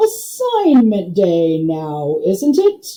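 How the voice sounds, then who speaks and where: A woman puts on a character voice at a medium pitch. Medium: read story. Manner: slow, pompous, clipped phrases.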